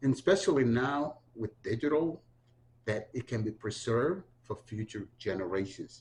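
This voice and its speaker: This man speaks at a moderate pace with a medium pitch. His voice is somewhat breathy, and his intonation is lively. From Honduras. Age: 60s. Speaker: community activist and historian. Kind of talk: oral history interview.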